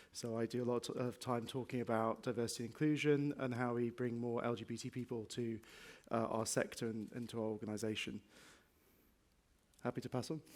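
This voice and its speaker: A man speaks fairly quickly with a slight northwest English accent. His pitch is medium and his intonation is flat and monotone. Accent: slight northwest England. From northwest England. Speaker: transport innovation lead, panelist. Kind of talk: panel discussion.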